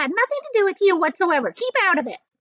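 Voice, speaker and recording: Putting on a squeaky character voice, a woman speaks at a very fast pace and an extremely high pitch with very wide pitch swings. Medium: read story. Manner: bossy, pompous.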